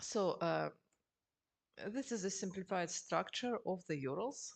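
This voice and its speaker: A woman's lively, varied intonation at a medium pitch, her loudness very even, over a quiet background. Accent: Russian. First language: Russian. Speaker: geologist. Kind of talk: lecture. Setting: seminar with audience. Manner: halting.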